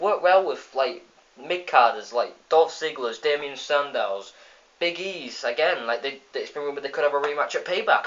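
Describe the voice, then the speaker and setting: With an English accent, a man keeps his speech at a moderate pace. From England. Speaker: wrestling video reviewer. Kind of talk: casual review vlog. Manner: animated.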